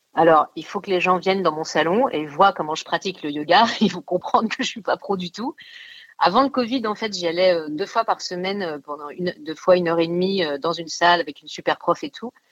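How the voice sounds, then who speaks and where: Over a quiet background, a woman talks at a fairly quick pace, her voice fairly low with ordinary pitch variation. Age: 40s. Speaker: actress and writer. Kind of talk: casual radio interview. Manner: animated.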